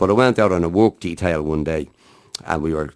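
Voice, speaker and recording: This man has a very deep, low voice and a Dublin accent. He speaks at a moderate pace. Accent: Dublin Irish. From Ireland, Dublin. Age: 60s. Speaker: harmonica player. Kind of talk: interview.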